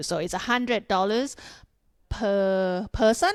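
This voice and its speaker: A woman speaks in a Thai accent. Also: very clean recording, silent background. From Thailand, Bangkok. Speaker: Muay Thai fighter and gym co-owner. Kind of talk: casual podcast interview.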